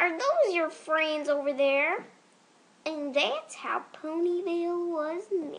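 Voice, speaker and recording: A female-sounding put-on character voice is pitched extremely high. It moves at a fairly slow pace. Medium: voice reel.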